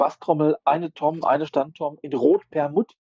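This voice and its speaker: A man talks at a fairly high pitch. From Ruhr area, Germany. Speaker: street photographer and intensive care worker. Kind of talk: casual chat.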